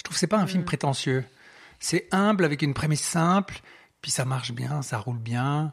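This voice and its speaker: A somewhat breathy man speaks at a moderate pace with lively intonation and a fairly high pitch. The recording is very clean, with a silent background. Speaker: podcast host. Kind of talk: casual chat.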